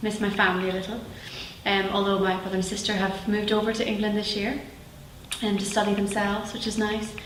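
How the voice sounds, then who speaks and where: A woman with a Northern Irish accent talks very fast in a flat monotone at a medium pitch, with audible room echo and noticeable background noise. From Northern Ireland, Belfast. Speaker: actress. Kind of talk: interview.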